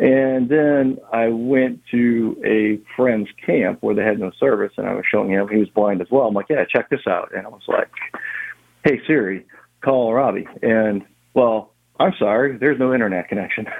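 A man speaks with a New Orleans accent at a moderate pace. His medium-pitched voice shows ordinary pitch variation. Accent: New Orleans area Southern US. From Louisiana, Harahan (New Orleans area). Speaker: blind massage therapist. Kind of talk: interview. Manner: halting, many fillers.

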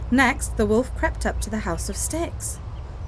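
Here someone is reading aloud in a natural voice.

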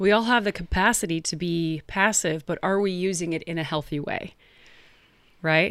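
In a very clean recording with a silent background, a woman with a normal speaking voice and a fairly low pitch speaks at a moderate pace with ordinary pitch variation. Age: 40s. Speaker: podcast co-host. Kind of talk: casual chat.

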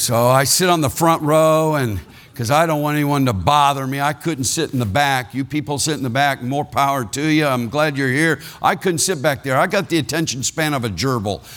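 At a fairly quick pace, a man with an American accent speaks in a normal speaking voice, fairly high-pitched, with ordinary pitch variation. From Ohio. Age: 60s. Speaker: retired pastor, guest preacher. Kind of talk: sermon. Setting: church service with congregation.

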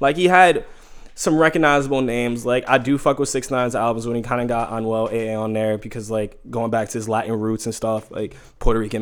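With a New York accent, a man speaks at a medium pitch with ordinary pitch variation. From New York City (Harlem). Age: 20s. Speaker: podcast guest. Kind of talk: casual chat.

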